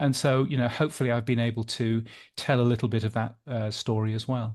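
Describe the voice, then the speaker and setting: The voice moves at a very fast pace in a British accent. Its intonation is fairly even. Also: man, medium pitch for a man, quiet background. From Britain. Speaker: podcast industry newsletter editor. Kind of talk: interview.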